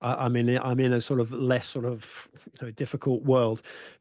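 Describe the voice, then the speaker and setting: Fairly quick pace and monotone, flat intonation over a quiet background. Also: man. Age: 60s. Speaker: football writer. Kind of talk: panel discussion.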